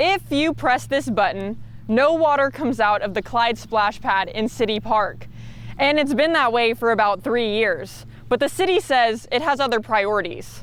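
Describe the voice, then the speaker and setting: The speaker is a woman with a high pitch. She goes at a moderate pace with ordinary pitch variation. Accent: American. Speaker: TV news reporter. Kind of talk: TV news reporting, standups and packages.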